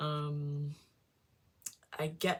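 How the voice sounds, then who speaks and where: The woman's pitch sits very deep and low. There is a somewhat breathy quality to her speech. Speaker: tarot reader. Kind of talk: tarot reading. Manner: mumbling at times; halting, many fillers.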